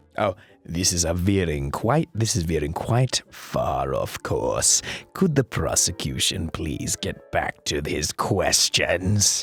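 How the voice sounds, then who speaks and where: A man uses a put-on character voice at a fairly low pitch and a fairly slow pace. The sound is dry and close, with no echo. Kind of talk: courtroom speech. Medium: game stream.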